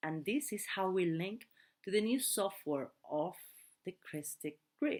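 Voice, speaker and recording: A woman's fairly low voice with a non-native accent. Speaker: translator of spiritual teachings. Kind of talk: translated talk reading; casual sign-off. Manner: halting.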